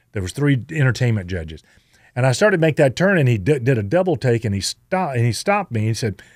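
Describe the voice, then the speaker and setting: Very fast speech from a man with a Southern US accent, medium in pitch with very wide pitch swings. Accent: Southern American. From Southern United States. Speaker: radio host and tribute performer. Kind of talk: interview answer. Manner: hesitant, conversational.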